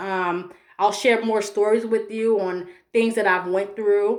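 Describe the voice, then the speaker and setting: The pitch moves up and down in an ordinary way. The pace is moderate. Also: woman. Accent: American. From Chicago. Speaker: mental health vlogger. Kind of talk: personal vlog monologue. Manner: stumbling over words.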